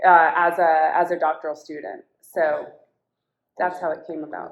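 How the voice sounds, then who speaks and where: A woman speaks with an American accent. Her voice is fairly low, with monotone, flat intonation. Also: big swings in loudness. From Washington DC. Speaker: educator and community activist. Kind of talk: interview. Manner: slow, deliberate.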